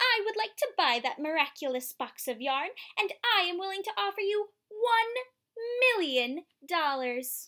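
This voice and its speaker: Using a put-on character voice, a woman speaks at an extremely high pitch with very wide pitch swings at a moderate pace. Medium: read story. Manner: haughty, demanding.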